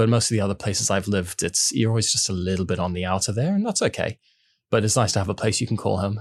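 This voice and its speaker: Over a silent background in a very clean recording, a man talks very fast. His fairly low voice is somewhat breathy, with fairly even intonation. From mixed: Switzerland, New Zealand, South Africa, Dubai. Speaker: food company sales and marketing head. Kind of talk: podcast interview.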